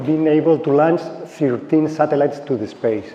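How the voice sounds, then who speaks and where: Speaking with a Spanish accent, a man talks slowly-ish in a fairly high voice. Room echo is audible, and the background noise is noticeable. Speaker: space startup engineer. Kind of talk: conference talk. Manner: halting.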